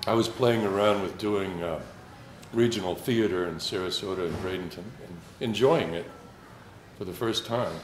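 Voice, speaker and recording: With audible room echo, a man of fairly low pitch speaks at a moderate pace, his loudness swinging widely and his pitch varying in an ordinary way, broken by long, frequent pauses. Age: 60s. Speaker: Twain impersonator and amateur actor. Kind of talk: casual talk to a gathering. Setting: small gathering. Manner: halting, with many fillers.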